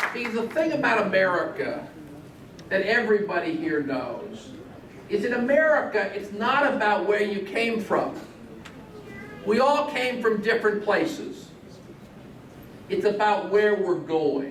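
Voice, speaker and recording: A man speaks at a high pitch and a fairly slow pace, with long, frequent pauses and very wide pitch swings. Noticeable background noise and audible room echo fill the recording. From Italy. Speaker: state senator. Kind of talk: public speech.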